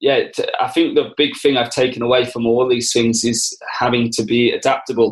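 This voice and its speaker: A man speaks at medium pitch and a moderate pace. His intonation is monotone and flat. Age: 20s. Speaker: rugby coach. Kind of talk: interview.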